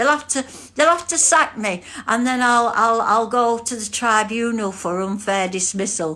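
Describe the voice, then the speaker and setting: With an English accent, a woman speaks at a moderate pace in a fairly high, bright, sharp voice with lively intonation. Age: 70s. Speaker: livestream host, court volunteer. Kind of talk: casual livestream chat. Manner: animated.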